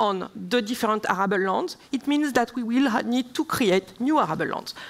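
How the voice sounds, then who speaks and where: With a French accent, a woman talks at a fairly slow pace, using a high pitch and lively intonation. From southern France. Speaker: member of European Parliament; speaker. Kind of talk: panel debate; panel discussion answer. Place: stage. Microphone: headset.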